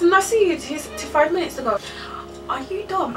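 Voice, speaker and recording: A woman speaks at a fairly quick pace. Faint music plays in the background. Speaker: vlogger. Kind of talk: casual storytime vlog chat. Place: home room. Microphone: phone near.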